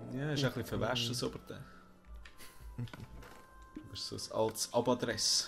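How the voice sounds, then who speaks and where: A man with a Swiss accent speaks at a moderate pace, leaving long, frequent pauses. Music plays in the background. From Switzerland. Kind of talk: casual let's play gaming commentary.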